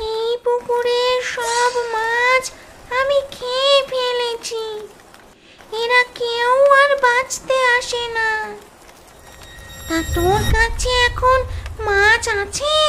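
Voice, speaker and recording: A female-sounding cartoonish character voice with an extremely high pitch speaks at a very slow pace. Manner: menacing.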